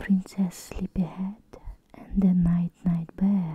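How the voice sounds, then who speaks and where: A soft-spoken voice whispers at a very slow pace. The sound is dry with no echo, and there is light background noise. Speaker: storybook reader. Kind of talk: whispered bedtime story reading. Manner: soft close ASMR whisper. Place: home room. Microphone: phone near.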